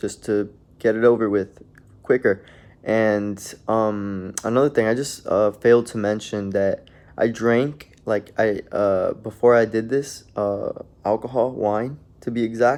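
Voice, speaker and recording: At a fairly slow pace, a man speaks with medium pitch and fairly even intonation. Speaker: storytime vlogger. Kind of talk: casual storytelling. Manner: halting, many fillers.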